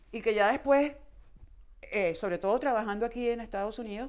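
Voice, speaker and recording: On a very clean recording with a silent background, a woman talks at a fairly high pitch with ordinary pitch variation. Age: 50s. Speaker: baseball journalist and writer. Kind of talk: interview conversation. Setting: podcast.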